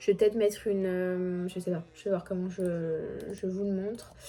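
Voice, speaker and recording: Noticeable background noise sits behind a woman at a medium pitch. She speaks at a fairly slow pace with monotone, flat intonation. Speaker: family vlogger. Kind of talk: casual tutorial. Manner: hesitant, many fillers.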